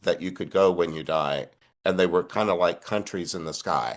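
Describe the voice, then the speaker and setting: Over a quiet background, a man speaks with a Texan accent. His pace is moderate. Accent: Texan American. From Southeast Texas, Port Arthur area. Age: 60s. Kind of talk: interview conversation.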